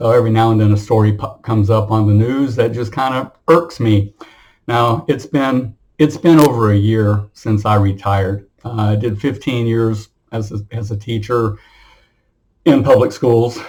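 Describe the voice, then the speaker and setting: Somewhat breathy, this voice shows ordinary pitch variation. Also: man, medium pitch for a man, moderate pace. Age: 60s. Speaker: retired teacher and military veteran. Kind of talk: casual monologue vlog. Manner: hesitant, with many fillers and repetitions.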